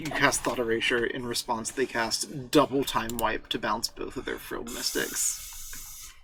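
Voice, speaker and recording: A soft-spoken man at a fairly slow pace, with hardly any pauses. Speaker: Magic Arena streamer. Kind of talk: casual gameplay commentary. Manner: soft-spoken, talking very quietly. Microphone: quiet, gain turned up.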